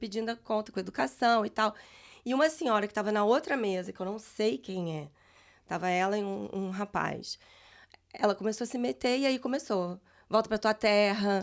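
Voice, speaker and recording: A woman speaks at a fairly high pitch and moderate pace with lively intonation, in a normal speaking voice. The recording is very clean with a silent background. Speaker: guest on immigration podcast. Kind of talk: casual chat.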